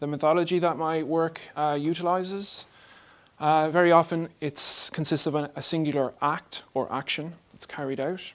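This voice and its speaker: A man's fairly high voice in an Irish accent, monotone and flat in intonation, in a very clean recording with a silent background. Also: moderate pace. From Ireland. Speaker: artist and art lecturer. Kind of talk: lecture. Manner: mumbling; speeds up as he talks.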